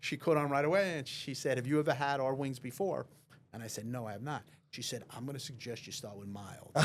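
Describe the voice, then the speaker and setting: Here a man speaks very fast in a Long Island accent, his loudness swinging widely. His pitch is medium, with ordinary variation. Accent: Long Island accent, lasting. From Long Island, New York. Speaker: real estate lawyer. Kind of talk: casual chat.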